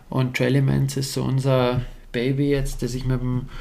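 With a Bavarian accent, a man speaks at a medium pitch and moderate pace in a dark, mellow tone, with audible room echo. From Bavaria, Alpine foothills (Bad Aibling area). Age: 30s. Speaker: mountain bike pro rider. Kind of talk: casual interview chat.

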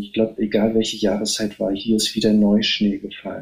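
A man talks at a fairly quick pace. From northeastern Germany. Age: 50s. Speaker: novelist and poet. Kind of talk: casual interview. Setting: remote call.

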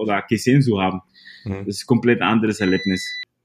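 This is a man with a Spanish accent. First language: Spanish (speaking German). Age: 30s. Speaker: salsa DJ. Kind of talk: interview. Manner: halting, repeating words.

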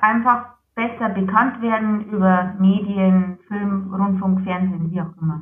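A woman with a slight Lower Bavarian accent speaks at a fairly slow pace with ordinary pitch variation. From Lower Bavaria, Germany. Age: 20s. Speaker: psoriasis patient, project manager. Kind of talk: interview.

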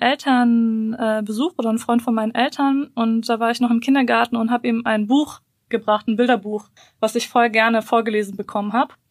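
Recorded very cleanly against a silent background, with a dry, close sound and no echo, a woman with a fairly high voice speaks at a fairly quick pace in fairly even intonation. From Bosnia, raised in Germany from early childhood. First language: Bosnian (speaking German). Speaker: podcast co-host. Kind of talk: casual chat.

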